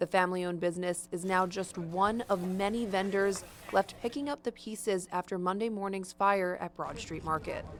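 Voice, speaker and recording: This woman has a plain, everyday voice at a medium pitch. She moves at a moderate pace with fairly even intonation and hardly any pauses. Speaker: TV news reporter and anchor. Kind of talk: TV news reporter delivery.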